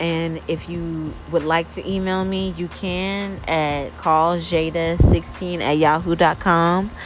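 Over noticeable background noise, a woman speaks very slowly at a fairly low pitch in a monotone, flat voice. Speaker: podcast host. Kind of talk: casual solo talk. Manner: casual, with many fillers.

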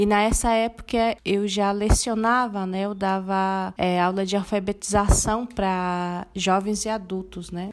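This woman speaks at a medium pitch in a monotone, flat intonation. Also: fairly slow pace, hardly any pauses. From Brazil, Mato Grosso do Sul (Guarani Kaiowá village near Dourados). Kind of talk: interview.

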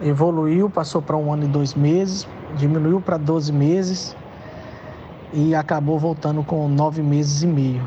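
With noticeable background noise behind him, a man talks at a moderate pace and a fairly high pitch, his intonation monotone and flat and his loudness very even. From Brazil, Minas Gerais (Belo Horizonte). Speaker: football club physiotherapist. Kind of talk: interview.

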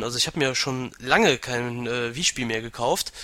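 A man's bright, sharp tone at a moderate pace. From western Germany, Aachen. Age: 20s. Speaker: gaming website administrator. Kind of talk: casual interview.

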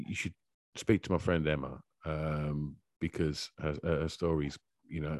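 Speaking with a British accent, a man keeps a moderate tempo. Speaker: podcast host. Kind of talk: casual chat. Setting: video call. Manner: halting.

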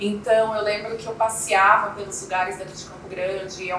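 A woman at medium pitch with fairly even intonation and a moderate pace, plus noticeable background noise and audible room echo. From Brazil, interior of Mato Grosso do Sul (Coxim). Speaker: chocolate entrepreneur. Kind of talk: interview.

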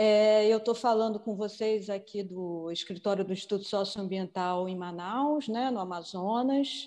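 A woman with a medium pitch and a dark, mellow tone speaks at a fairly slow pace, with ordinary pitch variation. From Rio de Janeiro, Brazil. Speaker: communication officer and documentary maker. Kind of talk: conference panel presentation.

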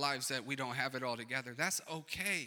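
Speaking very fast, a man with an American accent has a fairly high pitch and a bright, sharp tone. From Racine, Wisconsin, US. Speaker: pastor. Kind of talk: sermon, conversational pastoral preaching with call-and-response asides. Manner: coaxing congregation for amens, rhetorical questions; casual, animated and encouraging, punchy short exhortations.

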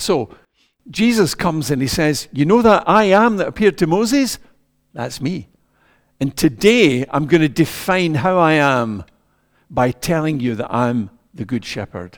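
Speaking at a fairly slow pace with long, frequent pauses, a man with a Scottish accent and a fairly high pitch makes very wide pitch swings. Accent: Scottish (Ayrshire). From Scotland, Ayrshire. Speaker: preacher. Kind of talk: sermon.

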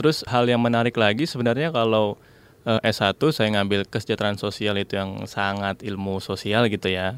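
Fairly low-pitched, a man speaks at a fairly quick pace with fairly even intonation. The recording is very clean, with a silent background. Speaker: former student abroad, international business graduate. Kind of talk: interview. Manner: hesitant with many fillers.

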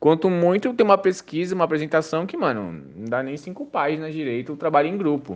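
A man speaks at a fairly quick pace in an unremarkable speaking voice. His pitch sits fairly high for a man. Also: ordinary pitch variation, hardly any pauses, big swings in loudness. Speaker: university student. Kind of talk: testimony.

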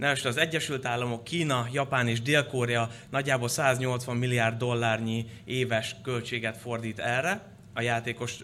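A medium-pitched man's voice with a bright, sharp tone at a fairly slow pace. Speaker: security director giving intro talk on e-sport. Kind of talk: conference presentation.

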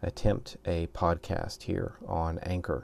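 Over a quiet background comes a man's very deep, low voice. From US South. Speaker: podcaster and martial arts instructor. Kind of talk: solo podcast introduction.

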